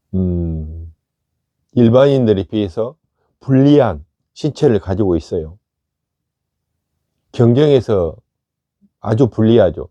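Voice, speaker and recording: A man speaks very slowly with long, frequent pauses, his intonation lively and his pitch fairly low. His tone is dark and mellow, and the sound is dry and close with no echo. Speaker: meditation teacher. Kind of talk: talk on meditation practice.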